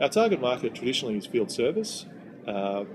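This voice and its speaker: A man with an Australian accent at medium pitch, ordinary pitch variation, and noticeable background noise. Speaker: software company delivery manager. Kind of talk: interview. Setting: in-person interview in Sydney.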